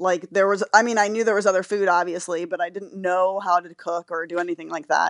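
A woman with an American accent talks at a fairly quick pace in a monotone, flat intonation. Her loudness swings widely, and the sound is dry and close with no echo. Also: medium pitch for a woman, hardly any pauses. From Florida. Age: 40s. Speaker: patient sharing illness story. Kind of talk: interview.

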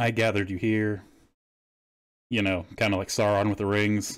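Here a man talks in an American accent. His pitch sits fairly low, and the recording is very clean with a silent background. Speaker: podcast host. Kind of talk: casual chat. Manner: animated.

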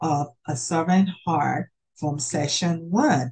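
A woman speaks very slowly in a fairly low, somewhat breathy voice with a warm tone. Her pitch varies in an ordinary way. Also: dry, close sound with no echo. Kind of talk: hosted panel discussion ending in prayer. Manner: warm, encouraging.

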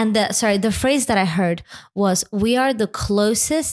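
A woman talks at a moderate pace and a medium pitch. She has an American accent and ordinary pitch variation. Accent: sounds American. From Lithuania. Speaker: church executive officer and musician. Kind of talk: interview conversation.

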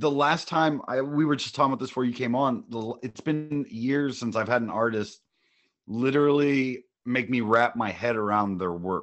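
A man speaks in a normal speaking voice with an American accent. His pitch is medium, his pace moderate and his pitch variation ordinary. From US Midwest, Ohio (Lima). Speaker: podcast co-host, musician. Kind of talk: casual interview.

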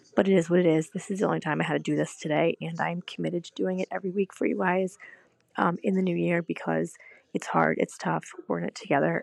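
Raspy and very fast, a woman performs a put-on character voice. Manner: low on passion, holding back.

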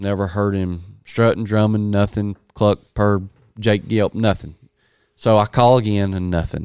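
In an American accent, a man speaks at a fairly slow pace with a fairly low pitch and monotone, flat intonation, the sound dry and close with no echo on a very clean recording with a silent background. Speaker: turkey hunter, podcast co-host. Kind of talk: casual chat, hunting story.

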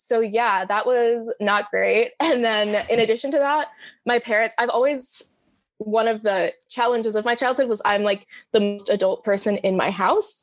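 A woman with a fairly high pitch talks at a moderate pace with very even loudness and fairly even intonation, in an ordinary speaking voice. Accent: American. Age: 20s. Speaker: college student. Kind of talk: casual interview.

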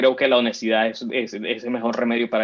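Fairly quick and monotone, a man talks in a flat, medium-pitched voice. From Venezuela, Caracas; raised in Miami. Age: 30s. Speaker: immigrant rights activist. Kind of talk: interview. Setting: video call. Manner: hesitant, many fillers.

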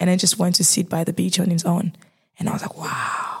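A woman's fairly low voice with vocal fry, at a moderate pace. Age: 20s. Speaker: marketing graduate. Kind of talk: casual chat. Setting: studio.

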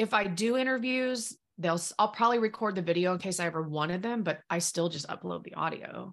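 A woman speaks at a fairly quick pace in a plain, everyday voice, her pitch medium with ordinary variation. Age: 30s. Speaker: business coach. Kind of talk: casual chat.

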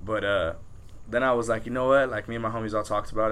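Audible room echo surrounds a man with a medium pitch and a bright, sharp tone. He talks at a very fast pace. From Southern California, Pico Rivera. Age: 20s. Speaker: rapper. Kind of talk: casual interview chat.

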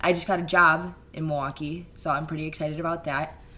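A woman's very deep, low voice with a bright, sharp tone, in audible room echo. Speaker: podcast guest, host's sister. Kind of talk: casual chat.

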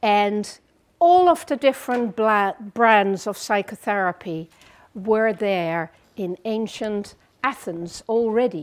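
Over a very clean recording with a silent background, a woman with a Dutch accent speaks very slowly at a fairly high pitch with lively intonation. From Netherlands. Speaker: psychotherapist. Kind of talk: lecture.

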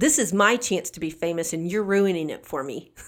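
With a Southern US accent, a woman talks at a medium pitch with lively intonation, recorded very cleanly against total silence. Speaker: podcast co-host. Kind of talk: casual chat.

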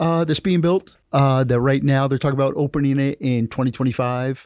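A man with an unremarkable speaking voice and an American accent, fairly high in pitch with ordinary pitch variation, at a fairly quick pace, in a dry, close sound with no echo, on a very clean recording with a silent background. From New Jersey. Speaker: podcast host and filmmaker. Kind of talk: casual chat.

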